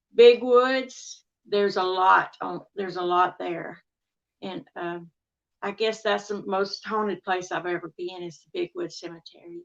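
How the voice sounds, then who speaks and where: A woman with a Southern accent speaks at a fairly slow pace in a medium pitch. Her loudness swings widely. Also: ordinary pitch variation. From Texas, US. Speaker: amateur paranormal researcher. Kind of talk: podcast interview.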